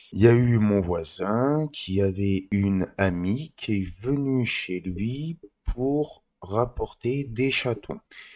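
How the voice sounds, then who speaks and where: Lively intonation from a man at a very slow pace. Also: medium pitch for a man. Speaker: vlogger. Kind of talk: casual vlog storytelling. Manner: halting, stumbling over words.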